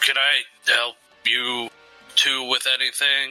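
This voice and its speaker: Over faint music in the background, a man uses a gruff, put-on character voice at a medium pitch and a fairly slow pace. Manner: pretending to be masculine.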